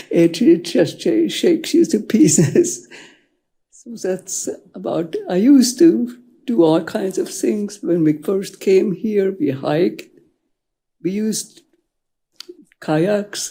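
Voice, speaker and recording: A woman at medium pitch with a dark, mellow tone and vocal fry, her pitch swinging very widely, at a very slow pace with long, frequent pauses. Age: 80s+. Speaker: public commenter. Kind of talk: public comment at council meeting. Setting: city council chamber. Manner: halting.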